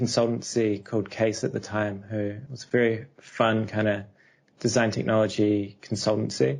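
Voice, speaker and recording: A man's medium-pitched voice with a New Zealand accent. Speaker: architectural researcher. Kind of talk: podcast interview.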